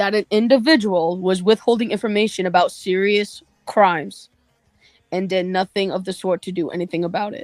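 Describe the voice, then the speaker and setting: At a moderate pace and medium pitch, a woman speaks with big swings in loudness, the sound dry and close with no echo. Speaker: online commentator. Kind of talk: livestream rant. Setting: livestream. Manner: monotone.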